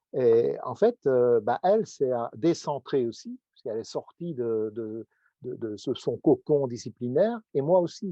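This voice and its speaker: This is a man with an unremarkable speaking voice. His pitch sits at a medium level. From Belgium. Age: 60s. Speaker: professor. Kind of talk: panel discussion.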